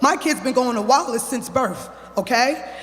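The pitch varies in an ordinary way, with noticeable background noise present. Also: man. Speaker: parent speaking at public comment. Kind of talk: public comment at board meeting. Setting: public meeting at microphone. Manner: fast; heated.

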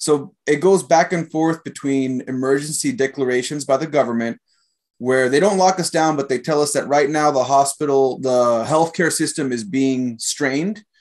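A man speaks at a moderate pace, his pitch varying in an ordinary way, in a quiet setting. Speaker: podcast host and martial artist; podcast host. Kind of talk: casual interview. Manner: laid-back, jokey. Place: home room. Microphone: video call.

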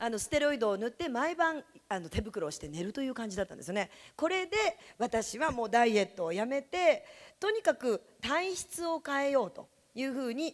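High-pitched woman's voice, animated tone, very wide pitch swings and big swings in loudness, quiet background. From Japan, Yamanashi; Japan. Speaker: direct sales distributor, former teacher. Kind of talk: sales seminar talk. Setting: stage with audience. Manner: fast. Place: meeting room. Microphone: handheld.

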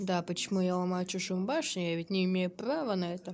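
A woman with a medium-pitched voice speaks at a moderate pace. Noticeable background noise runs underneath. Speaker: gaming youtuber. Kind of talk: gameplay commentary. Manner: animated.

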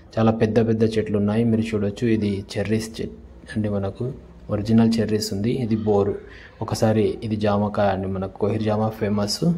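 A man's fairly low voice at a fairly quick pace, dark and mellow in tone, with little pitch movement, few pauses and audible room echo.

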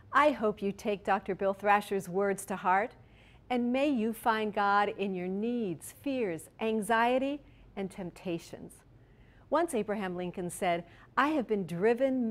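A woman's lively intonation at a fairly slow pace. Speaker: announcer. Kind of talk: scripted narration; closing remarks to camera. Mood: warm, earnest. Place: studio.

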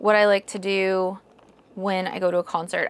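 A woman talking at a fairly slow pace. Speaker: vlogger. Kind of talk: casual vlog chat. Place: home room. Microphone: lapel.

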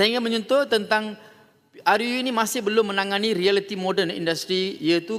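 Noticeable background noise runs throughout. Over it, a man talks. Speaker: member of parliament. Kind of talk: parliament debate speech, formal oratory. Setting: parliament hall. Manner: formal, measured; earnest, persuasive, rounding off with a polite closing appeal.

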